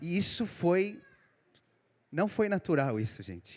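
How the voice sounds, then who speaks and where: A man speaks with a non-native accent. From Israel, emigrated from São Paulo, Brazil at age eight. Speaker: preacher, Israeli army veteran. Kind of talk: sermon. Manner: halting.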